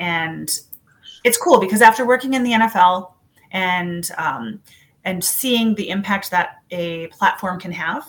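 With an American accent, the voice is somewhat breathy and shows ordinary pitch variation. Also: woman. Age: 40s. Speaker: nonprofit executive and former pageant winner. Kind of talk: interview conversation.

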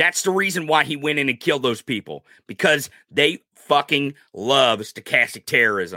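An angry man speaks at a moderate pace in a fairly high, bright, sharp voice with vocal fry and lively intonation. The sound is dry and close with no echo. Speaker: political commentary podcast host. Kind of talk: heated political rant. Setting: studio, livestreamed. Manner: loud, angry, profane.

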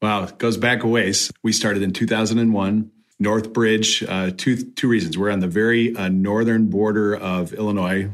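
A normal speaking voice from a man, pitched fairly low and fairly even in intonation. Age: 50s. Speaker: pastor. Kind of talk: interview.

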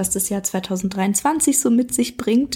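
The woman's voice is somewhat breathy. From Berlin, Germany. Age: 30s. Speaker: club member sharing success story. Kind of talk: personal testimony.

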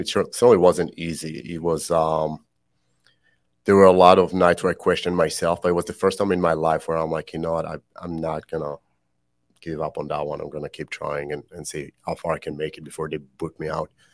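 Over a silent background on a very clean recording, a man speaks at a fairly quick pace in an Israeli accent. His very deep, low voice stays monotone and flat while its loudness swings widely. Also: dry, close sound with no echo. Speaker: podcast host, military veteran. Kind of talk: personal confession. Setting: studio.

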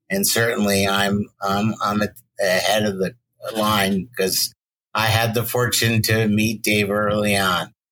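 A bright, sharp tone at a fairly slow pace, flat and monotone in intonation, with very even loudness. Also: man, fairly low pitch for a man. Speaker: film studio archive executive. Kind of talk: casual interview chat.

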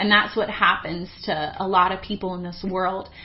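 There is noticeable background noise as a woman talks at a moderate pace and medium pitch. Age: 20s. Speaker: pastor. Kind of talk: sermon.

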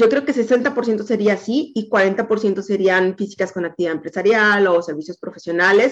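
At a moderate pace and with hardly any pauses, a woman with a Mexican accent speaks at a medium pitch with ordinary pitch variation. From Veracruz, Mexico. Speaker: insurance agent. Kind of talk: interview.

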